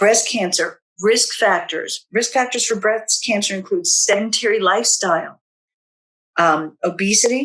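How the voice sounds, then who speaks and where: With an unremarkable speaking voice, a woman speaks fairly slowly at a fairly high pitch. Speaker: health educator. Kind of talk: webinar presentation.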